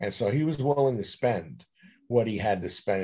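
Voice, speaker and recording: Somewhat breathy male speech with a dark, mellow tone and lively intonation. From New York City (Queens). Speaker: author. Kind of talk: interview.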